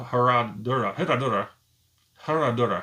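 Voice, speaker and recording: A man's gravelly, put-on character voice at a medium pitch and a moderate pace. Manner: repeating a name with exaggerated throat sounds.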